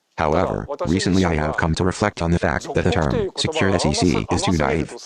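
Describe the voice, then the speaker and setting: Speaking at a fairly quick pace, a man with a very deep, low voice uses lively intonation at very even loudness over noticeable background noise. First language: Japanese. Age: 70s. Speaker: nuclear engineer and lecturer. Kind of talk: lecture.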